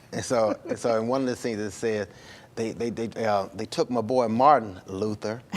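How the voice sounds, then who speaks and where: At a moderate pace, a man in an American accent holds a medium pitch with fairly even intonation. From US South, Birmingham, Alabama. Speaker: filmmaker. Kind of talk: interview. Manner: halting, many fillers and repeats.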